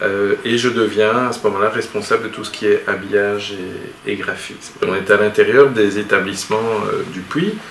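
A man speaking fairly slowly, with audible room echo and light background noise. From Belgium, Charleroi; Belgium. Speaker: animation studio boss. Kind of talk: interview. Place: office.

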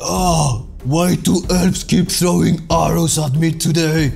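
A man uses a put-on character voice with a fairly high pitch at a moderate pace, with clear background noise behind him. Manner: screaming in pain, complaining.

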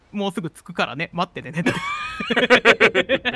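Using a put-on character voice, a man speaks at a moderate pace in a high, shaky, raised and projected voice. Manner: trembling voice.

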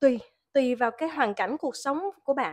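Quiet background behind a woman's high voice. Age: 40s. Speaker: tarot reader. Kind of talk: tarot reading.

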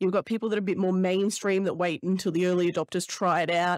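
A woman speaks in a monotone, flat voice, the sound dry with no echo against a quiet background. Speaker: podcast host. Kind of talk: casual podcast chat. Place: home room. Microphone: studio mic.

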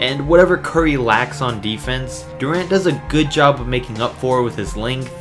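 Music plays in the background as a man speaks at a fairly quick pace with lively intonation. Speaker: sports video narrator. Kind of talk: commentary.

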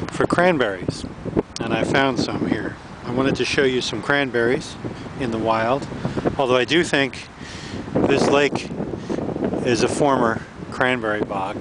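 A man talks at a fairly slow pace with ordinary pitch variation and long, frequent pauses. The sound is dry with no echo, though loud background noise runs underneath. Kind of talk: casual vlog narration. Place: waterside. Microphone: phone near.

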